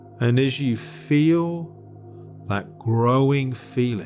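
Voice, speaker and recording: With music in the background, a man speaks at a very slow pace in a calm, soothing tone with lively intonation. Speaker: meditation guide. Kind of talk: guided meditation. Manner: calm, slow, soothing.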